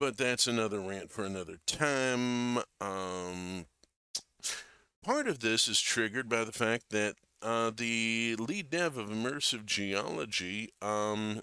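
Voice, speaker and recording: A man speaks very slowly at a medium pitch with ordinary pitch variation and a bright, sharp tone. The recording is very clean with a silent background. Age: 60s. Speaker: gaming streamer. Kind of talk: casual live stream commentary. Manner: halting, with repeated words and fillers.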